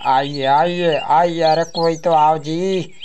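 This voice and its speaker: In a cartoonish character voice, a man speaks fairly slowly at a high pitch over clear background noise. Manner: whiny, comic.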